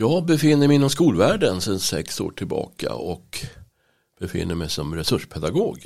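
In a very clean recording with a silent background, a man of medium pitch speaks at a moderate pace with very wide pitch swings. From Stockholm, Sweden (Bromma). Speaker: teaching assistant and church member. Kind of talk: interview. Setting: studio.

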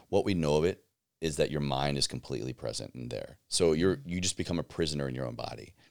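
A man's very deep, low voice with vocal fry, an American accent, ordinary pitch variation and a very fast pace. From US South, Southwest Virginia. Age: 30s. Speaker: podcast host and army veteran. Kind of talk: casual interview.

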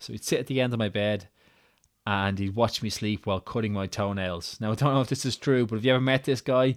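A man with an Irish accent at a very fast pace, medium pitch and fairly even intonation, in a very clean recording with a silent background and a dry, close sound with no echo. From Ireland. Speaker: podcaster. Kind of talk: solo podcast monologue, personal storytelling. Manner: casual, conversational, some hesitations.

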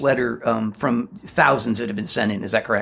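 Vocal fry runs through this man's voice. His pace is fairly quick. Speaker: podcast co-host. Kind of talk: casual chat. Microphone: varies with distance, echo.

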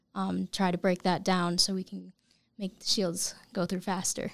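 A woman with an American accent speaks at a medium pitch in a monotone, flat intonation. The sound is dry and close with no echo, in a very clean recording with a silent background. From upstate New York. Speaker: engineering intern. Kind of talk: casual interview.

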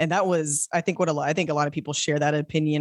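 Recorded very cleanly over a silent background, with a dry, close sound and no echo, a man with a fairly high pitch talks in an ordinary speaking voice with fairly even intonation. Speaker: film review podcaster. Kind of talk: casual chat.

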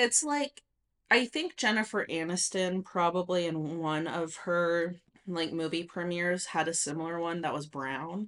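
A woman with an unremarkable speaking voice and an American accent talks at a fairly slow pace in a fairly low pitch, with ordinary pitch variation and a quiet background. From rural Nevada, US. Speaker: podcast co-host. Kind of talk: casual chat.

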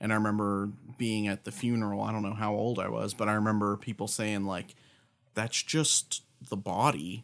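Speaking at a moderate pace, a man with a fairly low pitch and fairly even intonation has a plain, everyday voice. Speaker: podcast co-host. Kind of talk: casual chat about scripture.

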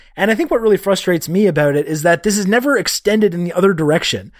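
The recording is very clean, with a silent background. In it, a man talks at a very fast pace. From Canada. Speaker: journalist. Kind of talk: casual chat.

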